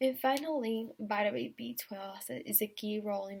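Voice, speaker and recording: At a moderate pace, a woman talks in a medium-pitched, somewhat breathy voice. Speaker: student. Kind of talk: class presentation. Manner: halting, many fillers.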